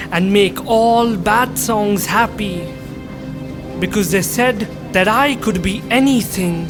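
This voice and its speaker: A man's high-pitched voice over music in the background. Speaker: spoken word poet. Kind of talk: spoken word poetry performance.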